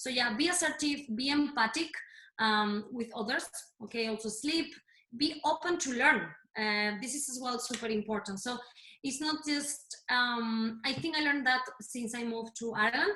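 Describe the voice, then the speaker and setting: Speaking with a Spanish accent, a woman uses a high pitch and ordinary pitch variation. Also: moderate pace. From Spain, Madrid. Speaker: fitness and health coach. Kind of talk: workshop talk. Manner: halting.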